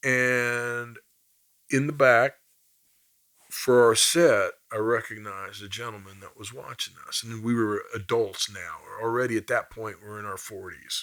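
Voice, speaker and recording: A man speaks at a fairly slow pace with a Midwestern US accent. His medium pitch carries fairly even intonation. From Kansas (Topeka). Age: 50s. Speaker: blues musician. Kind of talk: interview storytelling.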